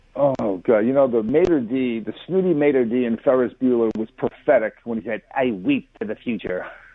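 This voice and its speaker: A man speaks at a moderate pace and a medium pitch with ordinary pitch variation. He leaves hardly any pauses. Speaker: caller. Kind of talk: call-in talk radio. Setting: phone call. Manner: quiet.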